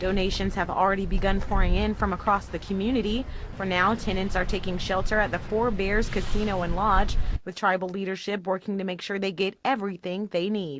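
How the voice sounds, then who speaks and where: Speaking quickly over noticeable background noise, a woman holds a medium pitch in a monotone, flat intonation, at a fairly quick pace. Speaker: multimedia journalist. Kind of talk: TV news report.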